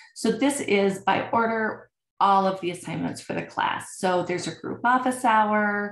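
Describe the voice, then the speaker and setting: A woman's voice at a fairly slow pace, with audible room echo. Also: medium pitch for a woman, ordinary pitch variation. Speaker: college instructor. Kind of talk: recorded lecture. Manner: casual, filler words.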